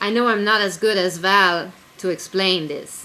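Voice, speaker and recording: A woman's voice over noticeable background noise. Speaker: writer and zine editor. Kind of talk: casual video blog. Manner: loud; animated.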